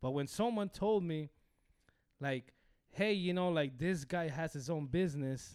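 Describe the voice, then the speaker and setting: On a very clean recording with a silent background, a man talks at a fairly quick pace in an animated tone with lively intonation. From Los Angeles (Hollywood), moved from rural Mexico as a child. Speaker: podcast guest, rapper. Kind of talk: casual chat.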